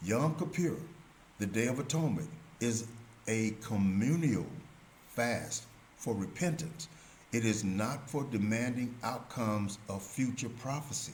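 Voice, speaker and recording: A man at a fairly slow pace with long, frequent pauses and audible room echo. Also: medium pitch for a man, ordinary pitch variation. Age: 70s. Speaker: religious commentator. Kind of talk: religious teaching monologue.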